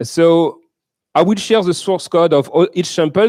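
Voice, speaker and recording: This man talks with a French accent. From France. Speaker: software developer, conference keynote speaker. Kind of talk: conference keynote with live demo. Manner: halting, with many fillers.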